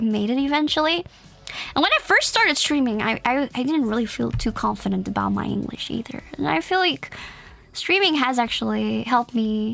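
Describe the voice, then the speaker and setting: Background noise is noticeable in this clip. A woman talks at a moderate pace. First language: Dutch. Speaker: vtuber streamer. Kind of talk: casual chat.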